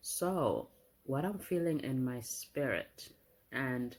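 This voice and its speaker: At a very slow pace, the voice is soft-spoken with a dark, mellow tone. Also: woman. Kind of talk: prophetic message and scripture reading.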